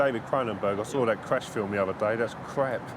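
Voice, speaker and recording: Over noticeable background noise, a man talks fairly quickly at a medium pitch. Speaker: press photographer. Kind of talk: interview. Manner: loud.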